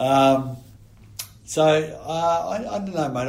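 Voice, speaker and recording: A man with an Australian accent speaks at a fairly slow pace with ordinary pitch variation, against noticeable background noise. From Australia (New South Wales). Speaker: retired rugby player. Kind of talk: casual chat.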